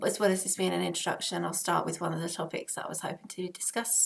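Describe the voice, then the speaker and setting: A woman speaks with an Essex accent. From Essex, England. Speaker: parenting vlogger. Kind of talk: casual vlog talk to camera. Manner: hesitant, many fillers.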